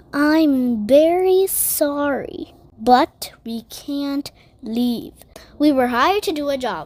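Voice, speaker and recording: A woman puts on a character voice, talking at a high pitch and a very slow pace. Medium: read story.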